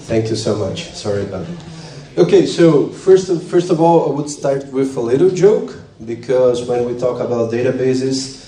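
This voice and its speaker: A man with a non-native accent speaks at a moderate pace with lively intonation, with audible room echo and noticeable background noise. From Brazil. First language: Portuguese. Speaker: database engineer. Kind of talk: lightning talk presentation. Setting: stage with audience. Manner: halting.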